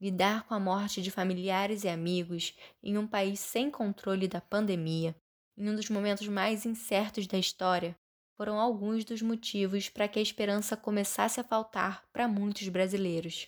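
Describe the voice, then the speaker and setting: Intonation stays monotone and flat. The recording is very clean, with a silent background. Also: woman, medium pitch for a woman, moderate pace. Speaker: journalism student, podcast host. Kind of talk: scripted narration.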